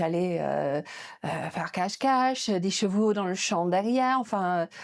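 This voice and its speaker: On a very clean recording with a silent background, a woman with an English accent speaks at a medium pitch with ordinary pitch variation. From northern England, Yorkshire near Leeds. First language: English (speaking French). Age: 50s. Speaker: museum director. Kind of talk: interview. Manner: hesitant, many fillers.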